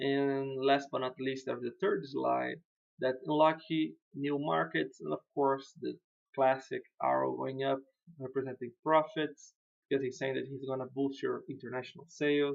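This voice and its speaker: With a non-native accent, a man speaks at a fairly high pitch. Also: fairly even intonation, moderate pace. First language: not English. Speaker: web developer reviewing client websites. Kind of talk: screen-share website review. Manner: casual, hesitant with fillers.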